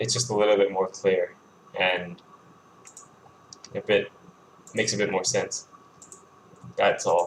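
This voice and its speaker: The speaker mumbles at a moderate pace. Background noise is noticeable. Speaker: game developer streaming coding. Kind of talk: live coding stream, casual narration. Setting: live stream. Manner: mumbling; halting, with repetitions and fillers.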